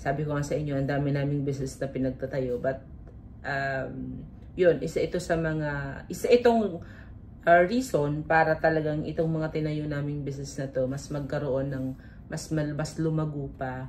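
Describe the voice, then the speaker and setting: Somewhat breathy and at a moderate pace, a woman speaks with a very deep, low pitch and fairly even intonation, with audible room echo. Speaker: vlogger and business owner. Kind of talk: vlog talk to camera. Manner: talkative.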